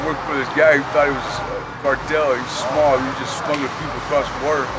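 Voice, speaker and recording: With an American accent, a man with a fairly high voice is heard amid audible room echo and noticeable background noise. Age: 60s. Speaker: former prisoner, homeless man. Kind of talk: life story interview.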